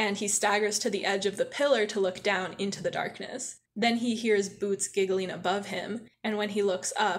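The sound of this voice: Against a quiet background, an unforced reading voice holds fairly even intonation.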